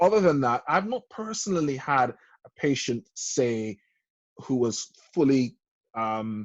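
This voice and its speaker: With lively intonation, a plain, everyday voice moves along at a fairly slow pace. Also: man. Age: 30s. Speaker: doctor. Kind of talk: casual chat.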